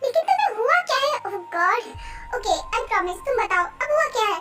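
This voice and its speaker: Over music in the background, a woman does a squeaky, put-on character voice at a fairly quick pace. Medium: fan dub.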